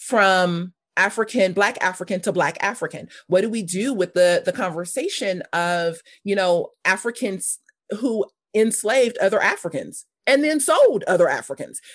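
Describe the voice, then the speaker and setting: Speaking at a medium pitch, a woman with a Californian accent uses lively intonation. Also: quiet background. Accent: Californian American. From US West Coast, South Los Angeles. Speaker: ministry leader and former missionary. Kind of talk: podcast interview.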